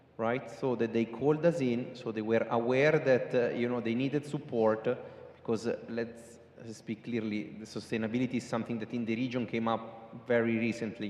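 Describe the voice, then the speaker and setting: There is noticeable background noise as a man talks at a fairly quick pace. He has an American accent and fairly even intonation. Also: medium pitch for a man. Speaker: sustainability consultant. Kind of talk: panel discussion. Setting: stage with audience.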